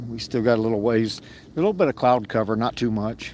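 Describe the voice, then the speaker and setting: A man with a Texan accent, medium pitch and a moderate pace. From Texas. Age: 60s. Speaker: fishing livestreamer. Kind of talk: live outdoor commentary. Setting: outdoors in a kayak on a lake. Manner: casual, halting.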